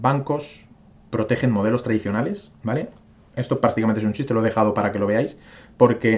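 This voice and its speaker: A man's medium-pitched voice carries fairly level intonation over a quiet background. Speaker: crypto YouTuber. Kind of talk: casual video commentary, market analysis. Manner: fast; filler-heavy, frequent ¿vale? and hesitations.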